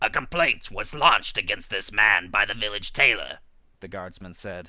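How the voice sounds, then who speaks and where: A man performs a put-on character voice with lively intonation and big swings in loudness. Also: fairly low pitch for a man, moderate pace. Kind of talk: read fable audiobook. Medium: read story.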